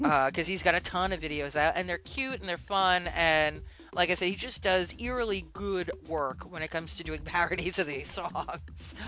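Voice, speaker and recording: Over music in the background, a woman talks at a moderate pace with an animated tone and hardly any pauses. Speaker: podcast host. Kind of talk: casual chat.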